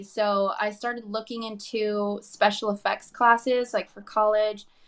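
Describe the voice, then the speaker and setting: A woman has a plain, everyday voice, fairly high in pitch. Her intonation is fairly even. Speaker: actor. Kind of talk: interview chat.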